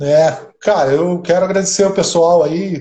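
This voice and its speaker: The voice is somewhat breathy with a dark, mellow tone and moves at a fairly slow pace. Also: man. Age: 50s. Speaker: amateur triathlete. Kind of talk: casual interview on a live stream.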